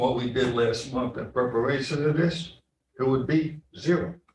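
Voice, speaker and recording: Speaking with an American accent, a man talks at a moderate pace and medium pitch, with fairly even intonation and audible room echo. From New York City, the Bronx. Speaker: county legislator. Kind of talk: committee meeting debate. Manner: conversational, emphatic.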